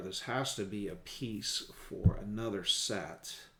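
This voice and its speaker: Heard with audible room echo, a man speaks in a relaxed tone at a medium pitch with ordinary pitch variation. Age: 50s. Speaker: hobbyist vlogger. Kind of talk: casual build commentary. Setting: at home gaming table. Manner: relaxed, halting with fillers.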